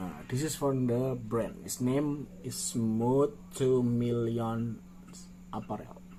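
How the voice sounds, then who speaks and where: A man talks very slowly at a medium pitch with ordinary pitch variation, and the room echo is audible. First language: not English. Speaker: clothing designer. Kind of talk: design showcase tutorial. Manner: halting; animated.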